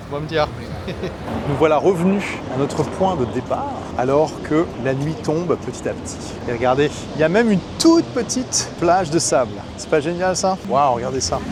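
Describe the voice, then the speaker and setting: A man with a fairly high pitch and lively intonation talks at a moderate pace with long, frequent pauses. Noticeable background noise is present. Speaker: travel vlogger. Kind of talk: travel vlog narration. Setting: outdoors by the sea. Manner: animated.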